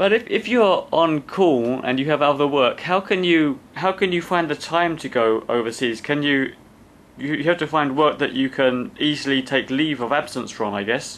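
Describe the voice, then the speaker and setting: A man's normal speaking voice, fairly high in pitch, with lively intonation at a moderate pace. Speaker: podcast host. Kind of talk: podcast host interviewing.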